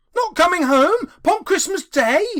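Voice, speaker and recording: In a put-on character voice, the speaker talks at a fairly slow pace, squeaky and at an extremely high pitch. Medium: read story.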